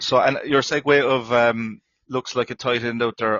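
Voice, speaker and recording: Speaking at a moderate pace, a man with an Irish accent holds a medium pitch in a monotone, flat intonation. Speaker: NFL podcast host. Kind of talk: casual sports chat. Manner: hesitant, many fillers.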